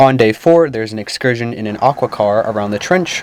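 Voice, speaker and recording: A normal speaking voice at a fairly quick pace, dry and close with no echo. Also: man. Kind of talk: mock travel infomercial read.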